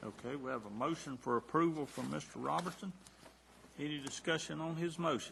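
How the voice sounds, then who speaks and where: A man with a Southern accent talks at a fairly high pitch. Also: ordinary pitch variation, fairly quick pace. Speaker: county board chairman. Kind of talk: chairing a public meeting. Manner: formal.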